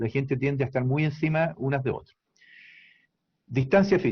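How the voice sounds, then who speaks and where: This man's voice sits at a medium pitch. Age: 60s. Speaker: doctor. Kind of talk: interview. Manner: halting.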